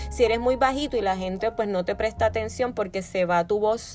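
A woman at medium pitch, at a moderate pace. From Puerto Rico. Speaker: podcast host, wellness coach. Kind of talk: solo podcast talk, self-help advice.

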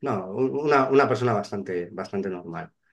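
Pitched fairly low, a man's voice shows ordinary pitch variation. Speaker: real estate agent. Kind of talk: casual interview chat. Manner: halting, many repeated words.

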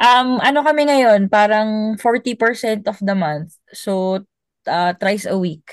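Very slow speech from a woman with a fairly high pitch and ordinary pitch variation. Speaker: former overseas worker. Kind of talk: casual chat.

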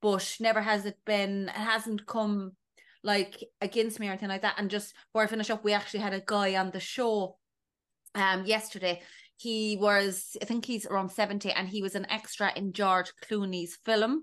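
Against a quiet background, a woman in a Cork accent speaks at a moderate pace and medium pitch with monotone, flat intonation. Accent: Cork Irish. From Ireland, North County Cork. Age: 30s. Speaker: TV production worker and podcaster. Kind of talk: casual chat.

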